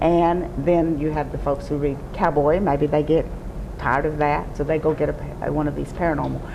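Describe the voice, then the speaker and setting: Over noticeable background noise, a woman with a Texas accent talks at a moderate pace in a very deep, low pitch with monotone, flat intonation. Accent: Southern US (Texas). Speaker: romance novelist. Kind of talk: interview answer. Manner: charming, humorous.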